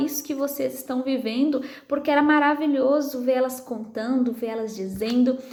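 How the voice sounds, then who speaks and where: A soft-spoken woman talks at a moderate pace in a high voice with fairly even intonation. Audible room echo and noticeable background noise surround her. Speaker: psychologist and women's prayer group leader. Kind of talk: testimony.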